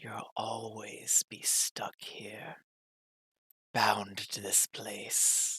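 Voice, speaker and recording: A whispered, put-on character voice at a very slow pace. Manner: whispering, ominous.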